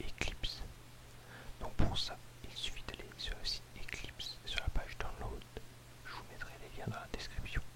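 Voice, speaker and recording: A man whispers at a fairly slow pace amid noticeable background noise. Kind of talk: programming tutorial, ASMR whispered. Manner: whispered, soft-spoken.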